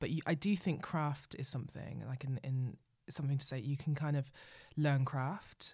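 Her tone dark and mellow and somewhat breathy, a woman speaks at a very deep, low pitch and a moderate pace with fairly even intonation, in a very clean recording with a silent background. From Bristol, southwest England. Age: 30s. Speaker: screenwriter and director. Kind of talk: casual interview chat.

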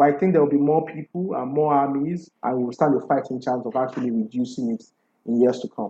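A man with a Nigerian accent talks fairly quickly at medium pitch, with ordinary pitch variation and a dark, mellow tone. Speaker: fact-checking editor. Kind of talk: interview.

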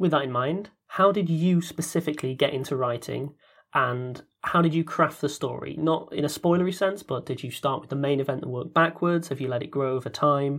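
This man has an unremarkable speaking voice with a fairly high pitch and ordinary pitch variation. He talks at a fairly quick pace in a very clean recording with a silent background. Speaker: podcast director and voice actor. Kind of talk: casual Q&A chat.

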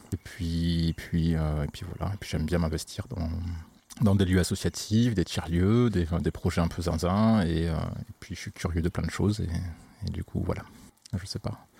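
A man's very deep, low pitch with a dark, mellow tone, fairly even intonation and a fairly slow pace. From southern France (Occitanie, Montpellier). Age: 30s. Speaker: sound engineer. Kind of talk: casual chat.

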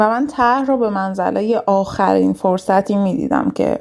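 A woman with an unremarkable speaking voice, medium pitch and a fairly slow pace. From Iran, Kurdistan (Sanandaj). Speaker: dentist. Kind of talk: personal story.

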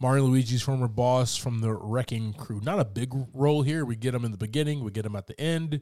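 A man's medium-pitched voice with a dark, mellow tone, ordinary pitch variation and a fairly quick pace, hardly any pauses, on a very clean recording with a silent background. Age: 30s. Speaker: podcast host. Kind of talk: casual chat. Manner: casual, joking.

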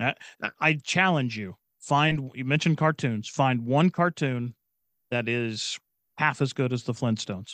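A man speaks in an unremarkable speaking voice at a medium pitch and a fairly slow pace, with ordinary pitch variation. The sound is dry and close with no echo, over a quiet background. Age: 40s. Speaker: podcaster and comedian. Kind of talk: casual chat.

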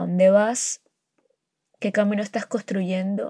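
With a dark, mellow tone, a woman talks at a very slow pace in a dry, close sound with no echo. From Colombian Caribbean coast, near Barranquilla. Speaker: podcaster. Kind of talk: personal monologue. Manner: hesitant, many fillers.

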